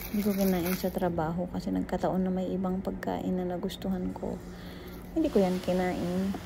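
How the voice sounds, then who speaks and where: A woman speaks softly. Audible room echo surrounds her voice. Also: fairly quick pace. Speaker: cooking vlogger. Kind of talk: casual vlog narration. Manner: soft-spoken.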